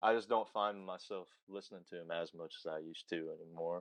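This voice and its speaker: A man with a Southern US accent at a moderate pace and fairly even intonation, dry and close with no echo. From Alabama (Huntsville). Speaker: musician. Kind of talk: interview.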